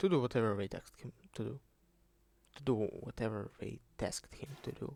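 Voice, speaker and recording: With a strong Russian accent, a man speaks at medium pitch and a moderate pace, with ordinary pitch variation and big swings in loudness. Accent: thick Russian. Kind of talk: unscripted video essay talk. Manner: rambling, casual.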